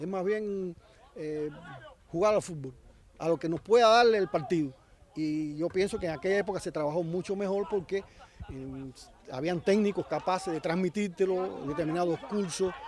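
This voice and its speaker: With long, frequent pauses, a man speaks at a moderate pace in a high pitch, using ordinary pitch variation. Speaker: former footballer. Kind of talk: interview.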